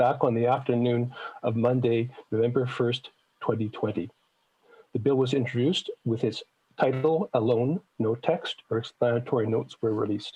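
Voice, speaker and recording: This man has a dark, mellow tone that is somewhat breathy, with a Canadian accent. He keeps a moderate pace and fairly even intonation. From Manitoba, Canada. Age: 60s. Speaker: citizen presenter at legislative committee. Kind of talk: public testimony to committee. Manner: formal.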